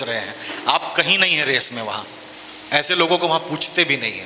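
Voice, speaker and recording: A man's high voice with a Bihari accent, over noticeable background noise. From Bhojpuri-speaking region, Bihar/eastern UP. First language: Bhojpuri (speaking Hindi). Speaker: actor and writer. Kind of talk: panel discussion at a book fair.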